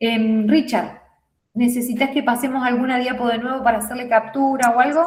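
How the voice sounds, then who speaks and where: Audible room echo surrounds a woman speaking at a moderate pace, her high pitch held in fairly even intonation. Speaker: nursing teacher. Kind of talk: lecture.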